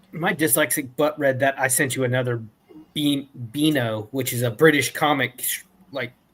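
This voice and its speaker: This is an unremarkable speaking voice from a man with an American accent. His pitch is fairly high, his intonation fairly even and his pace moderate. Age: 30s. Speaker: youtuber. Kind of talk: casual chat.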